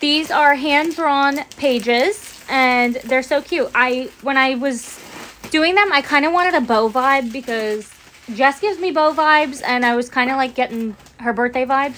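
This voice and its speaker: A high-pitched woman's voice at a fairly slow pace. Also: ordinary pitch variation. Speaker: helper on the livestream. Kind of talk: casual chat. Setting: livestream video. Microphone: phone near.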